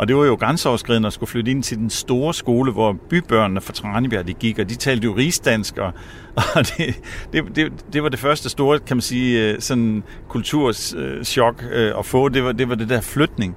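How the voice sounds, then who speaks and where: This man speaks at a fairly slow pace. His voice has a medium pitch and ordinary pitch variation. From Denmark, Samsø island. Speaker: director of energy academy, climate activist. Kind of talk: casual interview. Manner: halting, repeats words.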